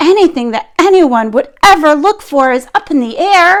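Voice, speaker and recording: Doing a put-on character voice, a woman projects in an extremely high, raised voice with very wide pitch swings at a moderate pace. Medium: read story.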